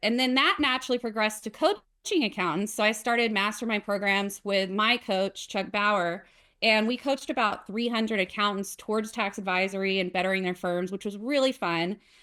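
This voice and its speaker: On a very clean recording with a silent background, a woman with a Southern US accent speaks at a fairly quick pace with hardly any pauses, her fairly high pitch showing ordinary variation and her tone bright and sharp. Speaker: accountant and software founder. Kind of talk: casual interview.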